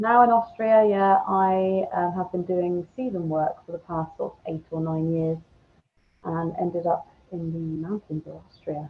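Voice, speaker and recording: Her loudness swinging widely, a woman with an English accent speaks at a fairly slow pace in a fairly low pitch with ordinary variation. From England. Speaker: podcaster and former resort manager. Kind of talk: interview. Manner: hesitant, many fillers.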